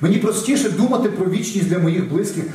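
A man speaks at a high pitch. Audible room echo and noticeable background noise surround his voice. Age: 40s. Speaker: pastor. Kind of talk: sermon.

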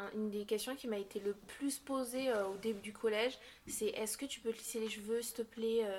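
The delivery is monotone and flat at a moderate pace, with noticeable background noise behind it. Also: woman. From Basque Country, France. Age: young. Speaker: interviewee sharing experience of racism. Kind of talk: testimony. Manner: halting.

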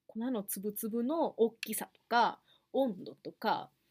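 A woman with a Kansai accent speaks at a fairly high pitch. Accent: Kansai Japanese. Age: 20s. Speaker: podcast host. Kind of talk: casual solo podcast talk.

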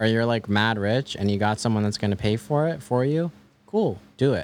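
This man talks at a fairly quick pace in a fairly low pitch, with lively intonation. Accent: Mid-Atlantic. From US, Maryland suburbs. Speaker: music producer. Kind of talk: casual interview.

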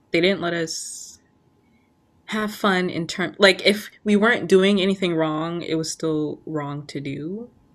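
A woman talks at a fairly slow pace in a fairly low pitch, with ordinary pitch variation and an ordinary speaking voice. The recording is very clean, with a silent background. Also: big swings in loudness. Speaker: podcast host. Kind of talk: casual chat.

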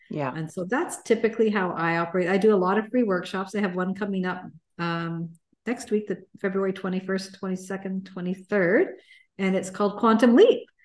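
Over a quiet background, a woman with a normal speaking voice talks at a fairly quick pace and a medium pitch, her intonation fairly even. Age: 60s. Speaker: success and mindset coach. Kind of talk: casual interview.

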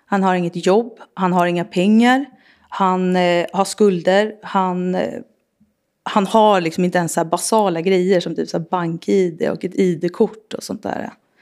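Over a silent background in a very clean recording, a woman speaks fairly slowly at a medium pitch with fairly even intonation. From Sollentuna, north of Stockholm, Sweden. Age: 40s. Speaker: recovering alcoholic sharing her story. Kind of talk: testimony.

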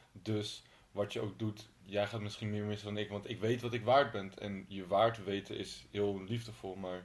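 Fairly low pitch and monotone, flat intonation from a man. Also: moderate pace. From Utrecht, Netherlands. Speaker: podcast host. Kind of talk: casual interview chat. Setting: in the guest's home.

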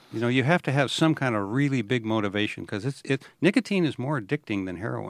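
Talking at a very fast pace with hardly any pauses, a man uses lively intonation at a medium pitch, in a dry, close sound with no echo on a very clean recording with a silent background. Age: 70s. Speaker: podcast host and former naval officer. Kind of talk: casual interview conversation.

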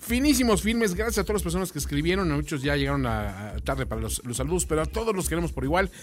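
This man talks very fast while noticeable noise fills the background. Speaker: film podcast co-host. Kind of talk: casual chat.

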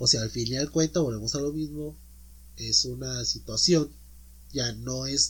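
A man with a Mexican accent, at a fairly slow pace. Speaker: podcast host. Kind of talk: casual chat.

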